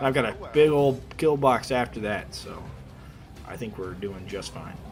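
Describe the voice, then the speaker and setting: Amid noticeable background noise, a man talks in a medium pitch. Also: ordinary pitch variation, big swings in loudness. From US Midwest, Kansas City area. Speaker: video game streamer. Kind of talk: gameplay commentary. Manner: fast; casual, hesitant with fillers.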